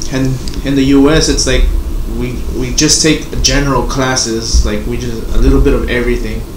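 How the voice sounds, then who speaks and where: The speech runs at a moderate pace with noticeable background noise. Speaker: podcast host. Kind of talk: casual interview. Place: home room.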